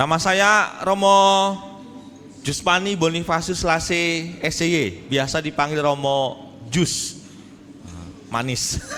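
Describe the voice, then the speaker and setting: The speaker talks at a very slow pace with ordinary pitch variation. Audible room echo surrounds the voice. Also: man, high pitch for a man. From Indonesia, rural Jambi, Sumatra. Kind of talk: sermon. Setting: church hall with audience. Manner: animated, joking.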